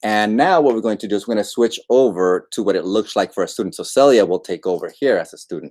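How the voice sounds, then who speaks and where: At a very fast pace with hardly any pauses, a man of medium pitch talks with ordinary pitch variation. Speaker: ed tech trainer. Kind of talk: tutorial. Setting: livestream.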